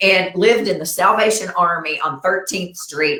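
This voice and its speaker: Speaking with a Southern US accent, a woman keeps a medium pitch and a moderate pace. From US South. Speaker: talk show host. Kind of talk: casual interview chat. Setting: live stream.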